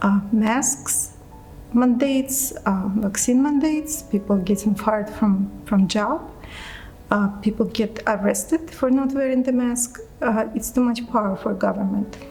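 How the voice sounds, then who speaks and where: With music in the background, a woman speaks in a Russian accent at a fairly slow pace, her fairly high voice showing ordinary pitch variation and very even loudness. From Russia, Moscow. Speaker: immigrant interviewee. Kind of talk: interview testimony. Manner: hesitant, many fillers.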